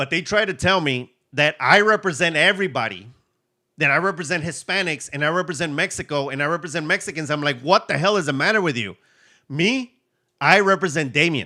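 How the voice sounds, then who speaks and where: Animated and lively in intonation, a man speaks at a fairly quick pace with a fairly high pitch and a bright, sharp tone. The recording is very clean, with a silent background. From USA, Mexican-American family. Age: 40s. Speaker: reseller and online seller. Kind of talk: live stream Q&A.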